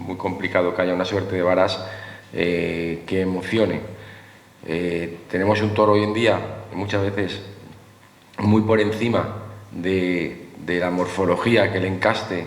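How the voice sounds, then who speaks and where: Amid noticeable background noise and audible room echo, a man with a very deep, low pitch talks at a fairly slow pace with fairly even intonation and long, frequent pauses. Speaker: former picador, veterinarian. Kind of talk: panel talk.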